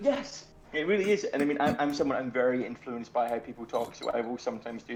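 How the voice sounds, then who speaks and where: Very fast speech over noticeable background noise. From Scotland. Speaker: game artist and co-writer. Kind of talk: casual chat. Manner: halting, many fillers.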